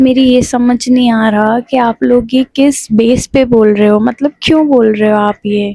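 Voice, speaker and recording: A soft-spoken woman's fairly high, dark, mellow voice at a moderate pace, with fairly even intonation, very even loudness, hardly any pauses and a dry, close sound with no echo. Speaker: vlogger. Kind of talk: casual vlog talk to camera. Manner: soft, low-energy.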